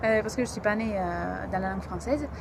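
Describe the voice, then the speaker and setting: A woman speaks in a Greek accent with a fairly high pitch. Noticeable background noise is present. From Greece, Athens. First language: Greek (speaking French). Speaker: language learner. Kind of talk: interview testimony. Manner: halting, many hesitations.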